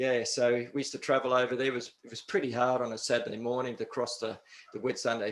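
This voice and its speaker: Fairly quick and flat, a man speaks at medium pitch in a monotone with an Australian accent. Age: 60s. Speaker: karate instructor. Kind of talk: casual interview.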